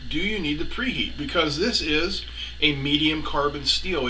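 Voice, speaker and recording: Light background noise behind a man, moderate in pace. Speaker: welding channel host. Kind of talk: tutorial. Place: workshop.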